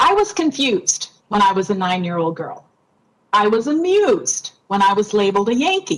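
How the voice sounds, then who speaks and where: A woman's fairly high voice with very wide pitch swings, an American accent, a moderate pace and a somewhat breathy quality. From Minnesota, US Upper Midwest. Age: 60s. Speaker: member of the public giving comment. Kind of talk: public comment testimony.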